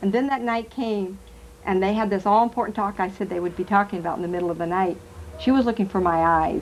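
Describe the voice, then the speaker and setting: A woman's medium-pitched voice at a very fast pace with ordinary pitch variation. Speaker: psychic medium. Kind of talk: talk to a live audience. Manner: animated.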